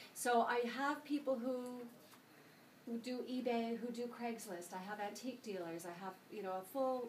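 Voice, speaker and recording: A woman with a Canadian accent speaks at a moderate pace in a fairly high pitch, with noticeable background noise and audible room echo. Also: ordinary pitch variation. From Canada. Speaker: senior move manager. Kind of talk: sales presentation.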